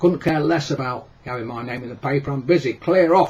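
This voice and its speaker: In a put-on, gruff character voice, a man speaks at fairly high pitch and a fairly quick pace, his loudness swinging widely. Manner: curt, dismissive.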